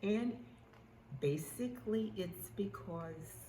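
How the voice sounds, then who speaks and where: Very wide pitch swings mark this very slow delivery. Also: woman. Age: 80s+. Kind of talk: casual talk to camera.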